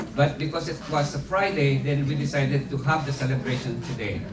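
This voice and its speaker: Noticeable background noise and audible room echo are present. A man speaks with a fairly high pitch. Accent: Filipino. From Philippines. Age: 70s. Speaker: retired teacher and community leader. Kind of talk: birthday speech. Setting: party with audience. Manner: halting.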